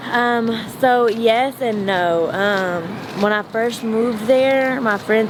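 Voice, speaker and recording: A woman talks with a Southern US accent at medium pitch and fairly even intonation. Noticeable background noise is present. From rural East Texas. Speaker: rapper. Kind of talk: interview answer. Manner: casual.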